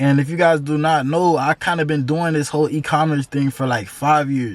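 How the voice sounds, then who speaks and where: Fairly high in pitch, this man has a plain, everyday voice with an American accent. He speaks at a fairly slow pace with fairly even intonation. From Florida (Tampa). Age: 20s. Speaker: entrepreneur YouTuber. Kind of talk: casual vlog storytelling. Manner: casual, filler-heavy.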